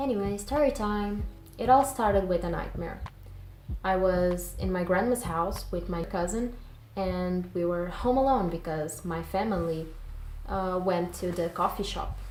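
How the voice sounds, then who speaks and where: Speaking with a non-native accent, a woman of medium pitch talks at a fairly slow pace with ordinary pitch variation and audible room echo. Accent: non-native English accent, self-described. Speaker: YouTuber and digital artist. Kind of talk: storytelling; casual vlog explanation.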